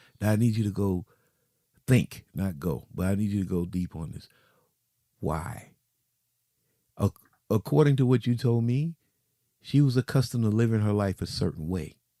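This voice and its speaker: A man's dark, mellow tone with lively intonation and long, frequent pauses. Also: fairly low pitch for a man, moderate pace, dry, close sound with no echo. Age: 50s. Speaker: podcast co-host. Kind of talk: casual chat.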